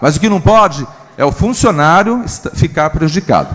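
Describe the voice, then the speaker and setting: A high-pitched man with lively intonation at a moderate pace. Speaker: city councillor. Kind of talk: council speech.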